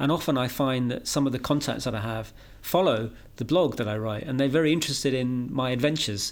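A man with a British accent, a fairly quick pace and ordinary pitch variation. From Britain. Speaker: EU space policy expert and marathon runner. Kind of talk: interview.

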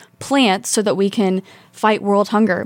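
A woman with an American accent and a normal speaking voice talks at medium pitch and a fairly quick pace, with fairly even intonation. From rural Indiana. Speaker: PhD student and pageant titleholder. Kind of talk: interview. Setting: studio.

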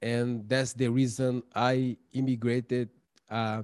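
The recording is very clean with a silent background. A man speaks with a Portuguese accent. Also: dry, close sound with no echo. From Brazil, São Paulo. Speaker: documentary filmmaker and tutor. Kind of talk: interview. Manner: halting, many fillers.

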